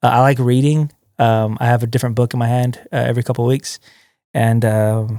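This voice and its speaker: At a fairly quick pace, a man of medium pitch speaks in a monotone, flat intonation with very even loudness, in a very clean, dry, close recording with a silent background and no echo. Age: 30s. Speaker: youth pastor. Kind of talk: casual chat. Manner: casual, hesitant with fillers.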